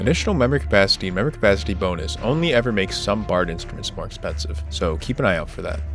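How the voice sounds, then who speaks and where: A man with a very deep, low pitch speaks very fast, hardly pausing, while his pitch swings very widely. Music plays in the background. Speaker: game guide creator. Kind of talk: video game guide narration. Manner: lethargic.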